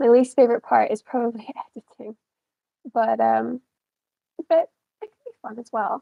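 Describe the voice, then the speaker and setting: A woman in an American accent pauses long and often, her loudness swinging widely. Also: moderate pace. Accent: Scottish with a slight American twang. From Scotland. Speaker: author. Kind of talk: casual interview chat.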